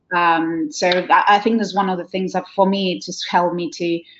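With an Argentine accent, a woman speaks at a medium pitch and a moderate pace, her intonation lively. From Argentina. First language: Spanish. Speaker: wedding planner. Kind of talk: interview. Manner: halting.

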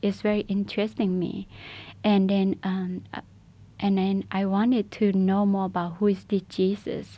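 A woman's dark, mellow, somewhat breathy voice at medium pitch, monotone and flat, at a moderate pace against a quiet background. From Shan State, Burma. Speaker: refugee sharing faith testimony. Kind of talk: testimony. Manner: halting.

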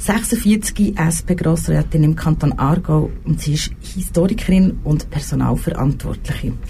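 A woman's voice at very even loudness and a fairly slow pace, with audible room echo and noticeable background noise. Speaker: radio host. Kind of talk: talk show interview. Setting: radio studio.

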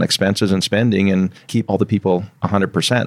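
A man's normal speaking voice, fairly low in pitch, with a Canadian accent, fairly even intonation and a fairly quick pace. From southern British Columbia, Canada. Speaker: company CEO. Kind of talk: casual interview.

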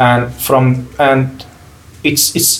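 A somewhat breathy man with an Arabic accent. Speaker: medical equipment repairer. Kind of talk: casual interview conversation.

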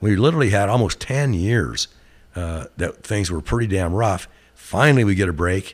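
A man speaks with an American accent. His pace is moderate and his intonation lively. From Glendale, Oregon. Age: 60s. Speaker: company CEO. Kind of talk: casual interview conversation. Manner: relaxed, hesitant with fillers.

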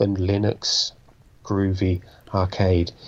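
A somewhat breathy male voice. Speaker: podcast co-host. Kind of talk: casual chat.

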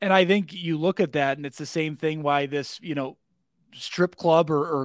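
A man talks at a fairly quick pace with a fairly high pitch and lively intonation. It is an ordinary speaking voice, with a dry, close sound and no echo. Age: 30s. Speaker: podcast host, insurance division manager. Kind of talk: casual interview chat.

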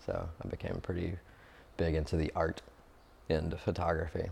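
Somewhat breathy, a man speaks in a very deep, low pitch with monotone, flat intonation. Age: 30s. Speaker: artist. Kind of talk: casual interview. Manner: hesitant, many fillers.

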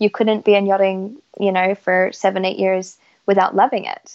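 A woman's medium-pitched voice proceeds at a moderate pace. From Isle of Man, moved to Canada. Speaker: yacht chief stewardess and blogger. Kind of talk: casual interview.

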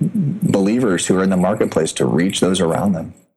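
A very deep, low male voice in an American accent. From US Midwest, Indianapolis. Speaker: missionary trainer. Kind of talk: interview. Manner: hesitant with many fillers.

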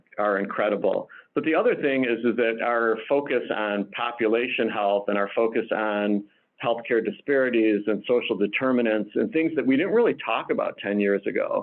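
A man with an unremarkable speaking voice talks at medium pitch and a moderate pace. His loudness stays very even, with ordinary pitch variation. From Detroit, Michigan. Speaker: hospital chief medical officer and physician. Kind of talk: interview.

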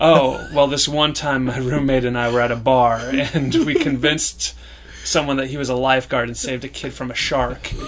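There is noticeable background noise behind the speaker. A man talks in a monotone, flat intonation. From rural small farming town. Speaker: sketch comedian. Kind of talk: casual chat.

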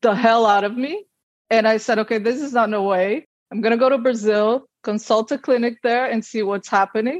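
In a normal speaking voice, a woman talks at a moderate pace with a fairly high pitch and fairly even intonation, the sound dry and close with no echo. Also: quiet background. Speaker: IVF patient sharing her fertility story. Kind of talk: personal testimony in interview.

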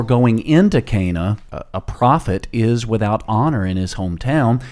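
Using a normal speaking voice, a man at medium pitch talks at a fairly slow pace with lively intonation. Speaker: pastor. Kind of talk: bible study discussion.

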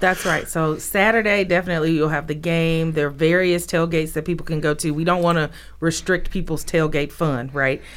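A woman with a fairly low pitch talks at a fairly quick pace, with hardly any pauses and fairly even intonation. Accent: Southern US. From Mississippi, Jackson. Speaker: cultural center director. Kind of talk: interview. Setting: radio studio.

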